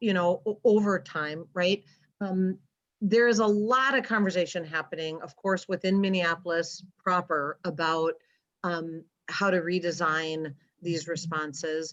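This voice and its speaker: A woman with an unremarkable speaking voice, fairly low in pitch, at a fairly slow pace with ordinary pitch variation. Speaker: county behavioral health presenter. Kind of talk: presentation with Q&A.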